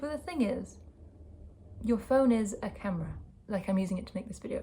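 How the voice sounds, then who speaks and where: With some vocal fry, a woman speaks fairly quickly at a medium pitch in a dark, mellow tone. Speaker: vlogger and sound artist. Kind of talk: casual vlog talk to camera. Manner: relaxed, informal.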